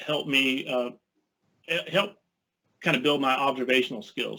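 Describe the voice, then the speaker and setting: With fairly even intonation, the man talks at a medium pitch. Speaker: illustrator. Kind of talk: presentation. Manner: fast; halting.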